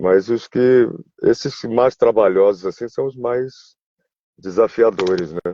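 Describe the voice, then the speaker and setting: Speaking at a fairly slow pace, a man with a medium pitch and a dark, mellow tone uses lively intonation, recorded with a dry, close sound and no echo. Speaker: voice actor. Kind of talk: interview. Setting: online live video stream. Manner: halting, with many repeated words.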